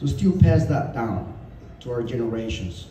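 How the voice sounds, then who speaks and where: Against noticeable background noise and audible room echo, a man talks at a fairly slow pace. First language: not English. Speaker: martial arts student. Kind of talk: memorial testimonial speech. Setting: gathering with audience.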